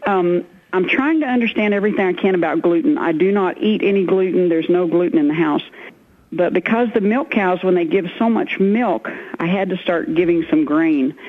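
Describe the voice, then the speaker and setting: A woman's medium-pitched voice with very wide pitch swings and very even loudness, at a fairly quick pace over noticeable background noise. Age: 60s. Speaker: caller, dairy farmer and vitamin distributor. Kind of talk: call-in testimony.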